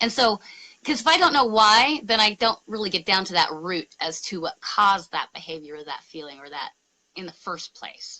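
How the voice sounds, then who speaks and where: A woman speaks at a medium pitch and a moderate pace, with very wide pitch swings and big shifts in loudness. The sound is dry and close with no echo. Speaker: spiritual ministry host. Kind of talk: casual interview conversation. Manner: dramatic, theatrical.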